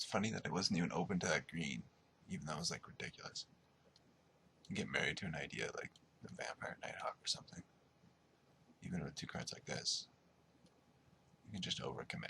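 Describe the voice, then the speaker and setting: A very fast whisper. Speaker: online card game player and video maker. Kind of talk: gameplay commentary. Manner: casual, musing.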